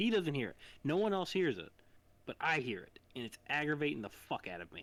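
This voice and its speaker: A man with a fairly high voice and vocal fry speaks at a fairly quick pace, with very wide pitch swings and big swings in loudness. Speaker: podcast co-host. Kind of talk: casual chat.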